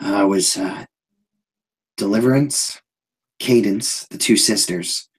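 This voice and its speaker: A raspy, put-on character voice from a man, medium in pitch, at a fairly slow pace with long, frequent pauses. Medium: actual play. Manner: folksy, rambling, colloquial.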